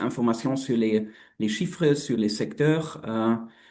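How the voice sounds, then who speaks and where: Against a quiet background, a man with a non-native accent and a dark, mellow tone speaks at a very slow pace in a medium pitch with ordinary pitch variation. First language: not French (speaking French). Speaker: researcher. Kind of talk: webinar presentation. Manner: halting.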